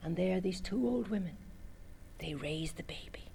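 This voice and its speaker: A woman's somewhat breathy, medium-pitched voice with a dark, mellow tone and an Irish accent, at a moderate pace. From Cork, Ireland. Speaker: storyteller. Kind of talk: oral storytelling performance.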